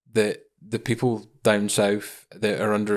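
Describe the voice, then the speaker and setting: On a very clean recording with a silent background, a man with a fairly low voice speaks with a Scottish accent. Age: 20s. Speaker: podcast host. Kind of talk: podcast interview.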